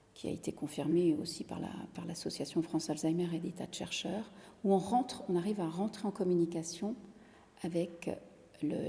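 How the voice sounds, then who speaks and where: Ordinary pitch variation in a woman's fairly low voice. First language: Italian (speaking French). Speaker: singer-songwriter. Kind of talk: interview. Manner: halting, many repetitions.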